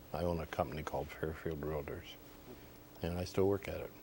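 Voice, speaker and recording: In an American accent, a man with a very deep, low pitch speaks at a fairly quick pace with fairly even intonation. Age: 70s. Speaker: former department store Santa Claus, realtor. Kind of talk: TV interview, reminiscing. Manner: hesitant, many fillers.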